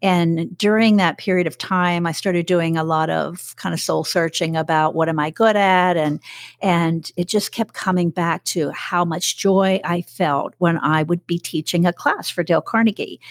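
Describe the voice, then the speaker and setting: A woman with an unremarkable speaking voice talks at a moderate pace, her pitch fairly low and her intonation fairly even, with hardly any pauses. The recording is very clean, with a silent background. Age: 60s. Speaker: corporate trainer and business owner. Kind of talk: casual interview conversation.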